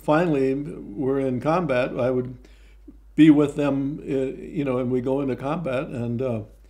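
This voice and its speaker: With an American accent, a man of medium pitch speaks at a fairly slow pace and fairly even intonation, with audible room echo. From Texas. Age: 90s. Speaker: war veteran. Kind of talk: oral history interview. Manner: halting, frequent fillers.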